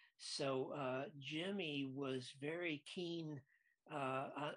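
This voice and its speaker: A man uses an ordinary speaking voice at a medium pitch with fairly even intonation. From US Midwest, Lansing, Michigan. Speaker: film director. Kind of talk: interview.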